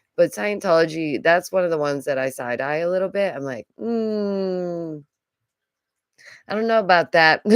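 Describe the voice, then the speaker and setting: A woman's animated, fairly low voice with an American accent and lively intonation, at a moderate pace. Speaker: YouTuber, artist and art teacher. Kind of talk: casual commentary livestream. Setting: home stream recorded from computer. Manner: chatty, animated.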